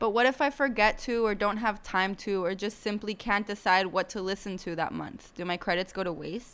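A woman with a medium pitch talks with hardly any pauses and ordinary pitch variation. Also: fairly quick pace. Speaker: podcast host. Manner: chatty, animated.

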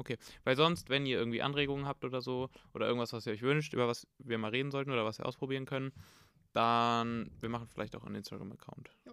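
This man's tone is bright and sharp. He speaks at a very fast pace with fairly even intonation. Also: medium pitch for a man. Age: 20s. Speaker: university student and podcast co-host. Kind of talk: casual chat. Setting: home recording, sitting across from sister.

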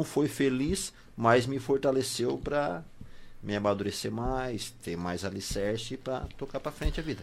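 On a very clean recording with a silent background, a man with an unremarkable speaking voice talks at a moderate pace and medium pitch, his intonation lively. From southern Brazil. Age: 40s. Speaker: bakery owner. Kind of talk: radio interview.

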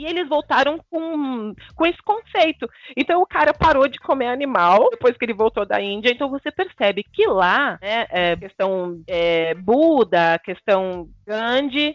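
Her high voice making very wide pitch swings, a woman speaks at a fairly slow pace with hardly any pauses. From Brazil, urban periphery. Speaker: podcast co-host. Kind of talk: casual chat.

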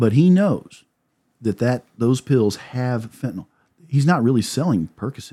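Here a man has a plain, everyday voice at a medium pitch. He talks at a moderate pace with lively intonation. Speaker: prosecutor. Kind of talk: casual chat.

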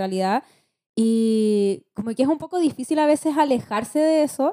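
A woman with a Chilean accent at a moderate pace, high pitch and lively intonation, in a dry, close sound with no echo. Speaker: podcast host and schoolteacher. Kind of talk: podcast interview, casual chat.

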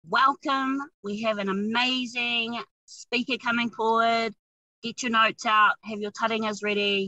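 Bright and sharp in tone, a woman speaks fairly slowly and enthusiastically in a New Zealand accent. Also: fairly high pitch for a woman. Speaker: podcast host. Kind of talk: interview. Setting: in a car.

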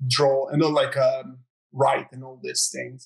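This man has a fairly high voice and a Croatian accent. He speaks at a moderate pace. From Croatia, near Zagreb. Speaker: artist. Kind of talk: interview.

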